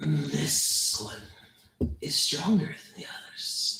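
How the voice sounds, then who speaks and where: Very slow, put-on character voice from a man. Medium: actual play. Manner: cold, commanding.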